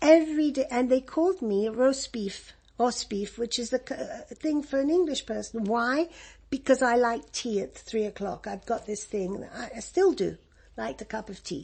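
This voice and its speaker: A high-pitched woman with an English accent, lively intonation, a moderate pace and big swings in loudness. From Egypt. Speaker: refugee interviewee. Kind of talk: oral history interview. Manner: halting.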